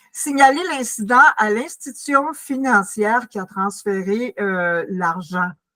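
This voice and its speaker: Speaking very slowly, a woman uses a fairly high, bright, sharp voice with lively intonation and big swings in loudness. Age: 80s+. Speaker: community workshop presenter. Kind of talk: informal presentation. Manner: halting.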